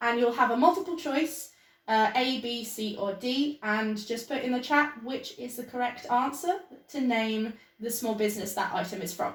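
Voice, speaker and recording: A high-pitched woman's voice with a British accent. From Britain. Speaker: small business owner and vlogger. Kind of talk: casual chat. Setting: video call. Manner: whispering.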